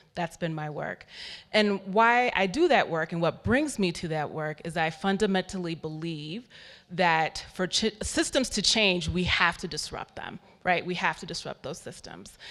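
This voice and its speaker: Very clean recording with a silent background, featuring a woman with an ordinary speaking voice, fairly low in pitch, at a moderate pace with ordinary pitch variation and big swings in loudness. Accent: American. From United States. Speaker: philanthropy workshop facilitator. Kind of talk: conference workshop talk. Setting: conference hall with audience.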